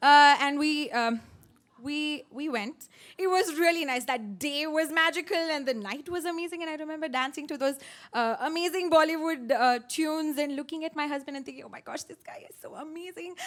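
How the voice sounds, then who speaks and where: Her high-pitched voice moves at a moderate pace with ordinary pitch variation, captured in a very clean recording with a silent background. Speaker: personal storyteller on stage at a storytelling event. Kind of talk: live personal story told to an audience. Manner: emotional, recounting a harrowing experience.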